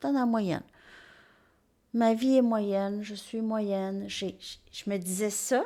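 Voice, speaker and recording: A woman speaks very slowly with a strong Quebec accent, at a fairly high pitch and in a dark, mellow tone. Her intonation is fairly even, her loudness swings widely, and she leaves long, frequent pauses. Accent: strong Québécois French. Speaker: tarot reader. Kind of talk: tarot reading monologue.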